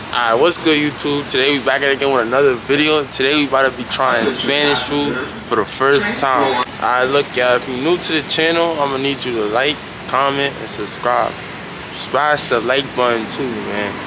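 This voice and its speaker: Moderate-paced speech from a man, with noticeable background noise. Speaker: food vlogger. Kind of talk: casual vlog chat.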